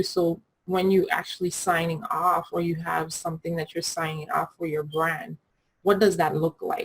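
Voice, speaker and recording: A woman with a Caribbean accent speaks at a moderate pace. Her fairly low voice is somewhat breathy. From Caribbean, US Virgin Islands (Saint Thomas). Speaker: graphic designer and brand coach. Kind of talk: tutorial. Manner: casual, conversational.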